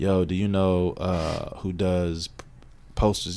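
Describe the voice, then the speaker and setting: A man's very deep, low voice carries a dark, mellow tone. His intonation stays monotone and flat, with audible room echo. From Kentucky (Radcliff). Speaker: music producer and manager. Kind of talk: casual interview chat.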